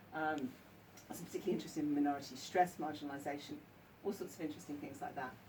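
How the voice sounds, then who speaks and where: A very fast woman's voice, very deep and low, with an English accent, ordinary pitch variation and audible room echo. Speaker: counsellor and author. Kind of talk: book launch talk. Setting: bookshop event with audience. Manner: hesitant, many ums.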